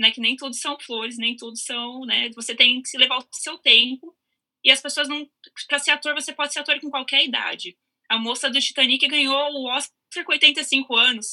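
Raised and projected, a woman's high-pitched voice has a bright, sharp tone, big swings in loudness, fairly even intonation and a moderate pace, recorded with a dry, close sound and no echo. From Brazil, São Paulo. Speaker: actress. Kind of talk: casual chat.

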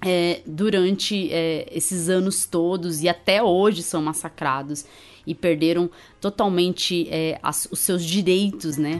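Against a quiet background, a woman with a fairly low pitch speaks very slowly with fairly even intonation. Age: 30s. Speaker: podcast host, immunologist. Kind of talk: casual science podcast chat.

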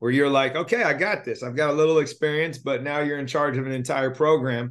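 With an ordinary speaking voice, a man talks at a fairly quick pace and a fairly high pitch, with fairly even intonation over a quiet background. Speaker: podcast host. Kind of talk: interview.

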